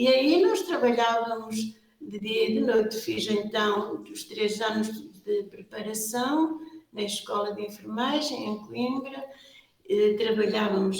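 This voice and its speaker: A woman with a fairly high pitch speaks at a very slow pace with ordinary pitch variation, her voice carrying audible room echo over noticeable background noise. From Portugal, Viseu region. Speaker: superior general of a religious order. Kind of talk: interview. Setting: exhibition room.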